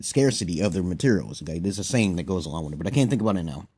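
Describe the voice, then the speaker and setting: A man speaks at a fairly low pitch with a dark, mellow tone. The recording is very clean, with a silent background. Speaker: vlogger giving opinions on social topics. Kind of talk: casual monologue vlog. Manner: animated, self-described not monotone; halting with many fillers and repetitions.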